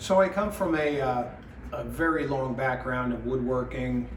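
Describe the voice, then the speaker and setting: There's noticeable background noise and audible room echo. A man talks at a moderate pace with a medium pitch. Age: 60s. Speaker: woodworking teacher. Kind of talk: promotional talk. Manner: hesitant, many fillers.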